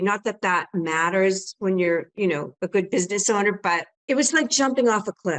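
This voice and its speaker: A woman talks in an ordinary speaking voice at medium pitch and a moderate pace. The sound is dry and close, with no echo. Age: 60s. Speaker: home staging business owner and coach. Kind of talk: interview.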